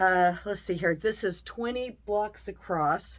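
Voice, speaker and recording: A woman's plain, everyday voice at medium pitch, with ordinary pitch variation, on a very clean recording against a silent background. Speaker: quilting teacher. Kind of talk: tutorial. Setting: home sewing room.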